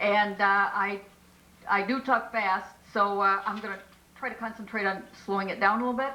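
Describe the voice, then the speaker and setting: Speaking at a moderate pace, a woman keeps a medium pitch and fairly even intonation. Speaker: multi-level marketing trainer. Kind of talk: training presentation. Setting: business meeting.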